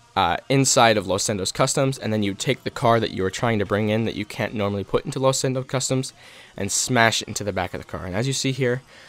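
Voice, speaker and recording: A man's medium-pitched voice at a very fast pace. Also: ordinary pitch variation. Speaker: gaming youtuber. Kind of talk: tutorial.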